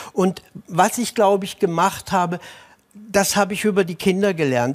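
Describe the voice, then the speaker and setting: Over a quiet background, a man talks at a high pitch. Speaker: school teacher. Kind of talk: TV talk show. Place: studio. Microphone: lapel.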